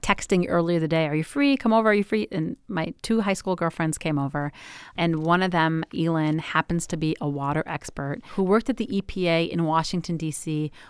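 A woman's ordinary speaking voice, fairly low in pitch, at a fairly quick pace with lively intonation, dry and close with no echo on a very clean recording with a silent background. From Michigan, US. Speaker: pediatrician. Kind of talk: interview.

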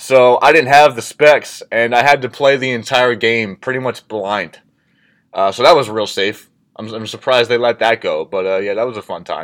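On a very clean recording with a silent background, a man talks at a moderate pace with medium pitch and ordinary pitch variation. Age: 20s. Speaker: fitness coach and podcast host. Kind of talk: solo podcast monologue. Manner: casual, with many fillers.

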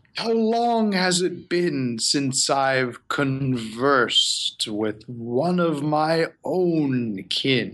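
A very slowly paced put-on character voice. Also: man, fairly high pitch for a man, hardly any pauses. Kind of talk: villain monologue. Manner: slow, silky, menacing.

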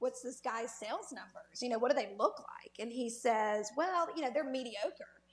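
A high-pitched woman with a Southern US accent, fairly quick and lively in her intonation. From Mississippi Delta.

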